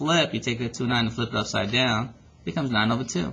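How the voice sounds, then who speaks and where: The speaker goes at a very fast pace with ordinary pitch variation. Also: man. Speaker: math teacher. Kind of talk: tutorial.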